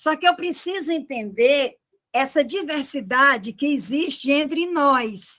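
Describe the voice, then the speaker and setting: Her tone is bright and sharp, with lively intonation. The woman speaks at a very slow pace. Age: 70s. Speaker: retired philosophy teacher. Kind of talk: panel discussion on education. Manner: hesitant, with many fillers and repetitions.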